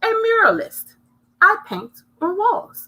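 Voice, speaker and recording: Putting on a character voice, a woman talks at an extremely high pitch with lively intonation. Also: fairly slow pace. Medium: read story. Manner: warm, cheerful.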